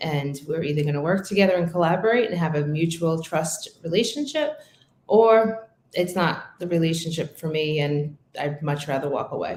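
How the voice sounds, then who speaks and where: In an American accent, a woman talks at a moderate pace with a fairly low pitch. Her voice is somewhat breathy, with ordinary pitch variation. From Brooklyn, New York. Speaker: real estate team leader. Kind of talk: interview. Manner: direct, assertive.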